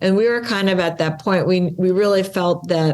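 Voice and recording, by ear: A woman speaks at a fairly slow pace with a slightly mellow tone and fairly even intonation.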